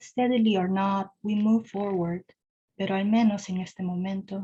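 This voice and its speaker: The voice is somewhat breathy with a dark, mellow tone, moving at a moderate pace. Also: woman. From Peru. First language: Korean and Spanish. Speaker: poet. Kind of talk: poetry reading.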